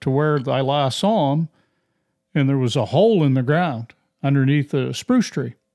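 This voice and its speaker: A fairly high-pitched man's voice in a dark, mellow tone at a moderate pace, on a very clean recording with a silent background. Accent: Maine. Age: 60s. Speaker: podcast host, hunter. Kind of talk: casual conversation.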